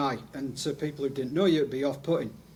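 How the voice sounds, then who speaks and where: A very fast-talking man with a fairly high pitch and fairly even intonation, over noticeable background noise. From northern England (Leeds, Yorkshire). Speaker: video producer, testimonials specialist. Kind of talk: interview.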